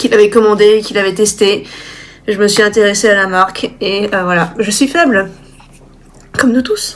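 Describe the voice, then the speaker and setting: This woman's voice is fairly high in pitch. She talks at a fairly slow pace with fairly even intonation. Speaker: illustrator vlogger. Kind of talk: casual vlog talk to camera. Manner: direct.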